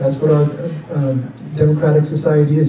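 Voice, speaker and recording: A man with an American accent speaks very fast at a fairly high pitch, with audible room echo and noticeable background noise. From Nevada. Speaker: political candidate. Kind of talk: campaign town hall Q&A. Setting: public meeting with audience, microphone.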